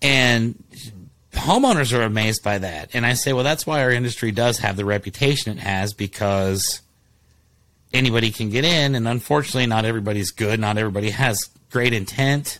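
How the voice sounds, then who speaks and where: On a very clean recording with a silent background, a man with an American accent uses a normal speaking voice at a medium pitch, talking at a fairly quick pace with ordinary pitch variation. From Ohio, Columbus. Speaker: roofing company owner. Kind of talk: casual chat.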